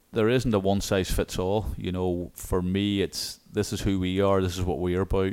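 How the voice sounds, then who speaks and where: A man with an Irish accent, a very deep, low pitch and ordinary pitch variation, on a very clean recording with a silent background. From Ireland. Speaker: college soccer coach. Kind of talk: interview. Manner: hesitant, many fillers.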